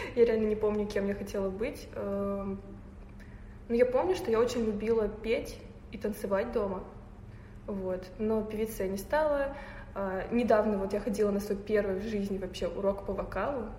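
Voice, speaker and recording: A woman's fairly high-pitched voice at a moderate pace, with fairly even intonation and audible room echo. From Tatarstan, Russia (Naberezhnye Chelny). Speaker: photographer. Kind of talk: casual interview.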